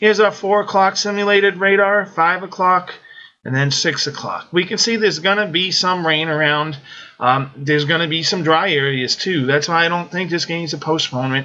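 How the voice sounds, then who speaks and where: Moderate pace over noticeable background noise. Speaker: fantasy sports weather analyst. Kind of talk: weather report. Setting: screen-share video presentation. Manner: conversational, explanatory, matter-of-fact; measured, with filler 'um' and 'uh'.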